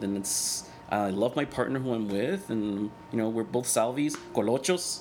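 Here a man talks at a moderate pace. His pitch varies in an ordinary way. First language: Spanish. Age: 40s. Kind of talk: casual interview chat.

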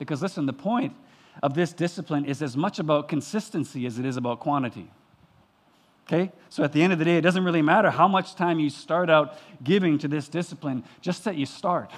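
Fairly quick male speech, fairly high in pitch and with ordinary pitch variation. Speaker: pastor. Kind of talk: sermon. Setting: church. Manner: fast.

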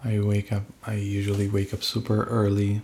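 A man's fairly low voice, dark and mellow in tone, somewhat breathy, at a moderate pace. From Spain. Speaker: singer-songwriter. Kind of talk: casual chat.

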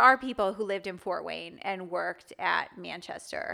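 Recorded very cleanly against a silent background, a woman with an American accent speaks at a medium pitch with ordinary pitch variation. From US Midwest, Chicago area. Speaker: psychology professor. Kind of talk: casual interview.

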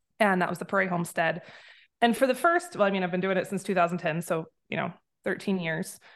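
This woman talks at a very fast pace with an American accent and a medium pitch. Her intonation stays fairly even against a quiet background. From USA. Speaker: homesteading blogger and author. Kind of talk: casual interview chat. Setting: video call.

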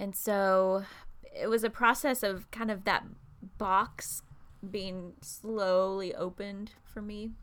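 A woman at a very slow pace, in monotone, flat intonation, on a very clean recording with a silent background. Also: medium pitch for a woman. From central Kentucky. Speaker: pastor. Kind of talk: interview conversation.

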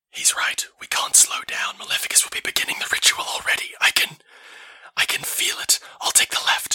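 A man whispers in a put-on character voice. He leaves hardly any pauses. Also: moderate pace. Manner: urgent, commanding.

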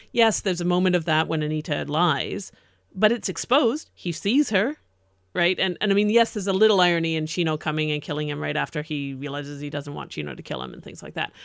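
A fairly quick voice with an American accent, vocal fry and ordinary pitch variation, in a very clean recording with a silent background. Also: woman. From not New York City. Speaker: podcast co-host. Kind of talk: casual discussion.

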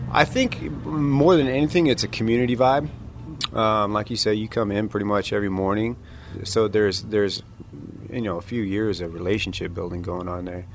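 An ordinary speaking voice with lively intonation at a fairly quick pace. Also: man, fairly low pitch for a man. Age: 30s. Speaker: coffee shop owner. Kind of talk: interview. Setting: coffee shop.

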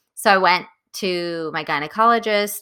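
A woman speaks in a bright, sharp tone. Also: very clean recording, silent background. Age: 30s. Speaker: podcast co-host. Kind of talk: casual chat.

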